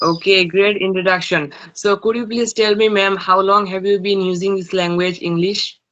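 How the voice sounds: A man speaks with a fairly bright tone at a high pitch. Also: fairly even intonation, moderate pace.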